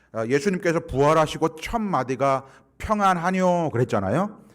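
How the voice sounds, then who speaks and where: A man with a Gyeongsang accent speaks at a moderate pace. His fairly high pitch makes very wide swings. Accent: Gyeongsang Korean dialect. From Gyeongsang region, South Korea. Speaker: guest pastor, church consultant. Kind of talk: sermon. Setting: church.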